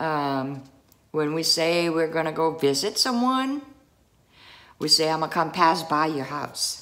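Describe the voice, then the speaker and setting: A woman's fairly low, bright and sharp voice with an American accent, animated in tone, fairly slow, with very wide pitch swings. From US South. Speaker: video creator. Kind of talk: casual vlog. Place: home room. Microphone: phone near.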